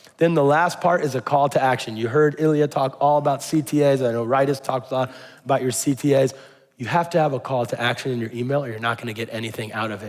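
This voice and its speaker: Speaking at a very fast pace, a man with a medium-pitched voice sounds animated. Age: 40s. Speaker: startup marketer, keynote speaker. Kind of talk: keynote talk. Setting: stage with audience.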